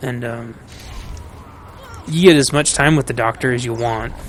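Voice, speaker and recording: The man's voice sits at a medium pitch. Noticeable background noise can be heard. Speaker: gaming streamer. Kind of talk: casual gameplay commentary. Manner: rambling, hesitant with fillers.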